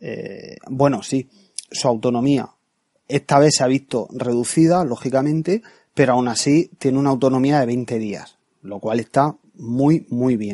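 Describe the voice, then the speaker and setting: A man speaks at a fairly slow pace in a dark, mellow tone, with a dry, close sound and no echo. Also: medium pitch for a man, ordinary pitch variation. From Spain, Murcia. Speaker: tech podcast host. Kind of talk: product review monologue.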